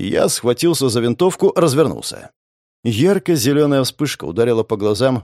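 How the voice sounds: Set against a quiet background, this is a natural reading voice with lively intonation.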